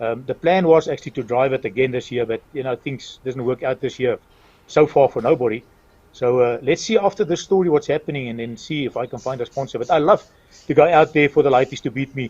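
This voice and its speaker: Speaking at a very fast pace, a man sounds somewhat breathy in a dry, close recording with no echo. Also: medium pitch for a man, ordinary pitch variation. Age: 60s. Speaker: retired racing driver and town mayor. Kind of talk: interview.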